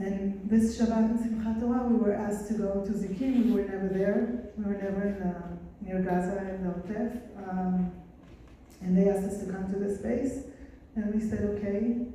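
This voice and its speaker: Over noticeable background noise and audible room echo, a woman talks at a moderate pace. Her medium-pitched voice stays monotone, with flat intonation. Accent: Israeli. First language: Hebrew. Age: 40s. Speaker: nurse. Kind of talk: testimony. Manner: soft-spoken; halting.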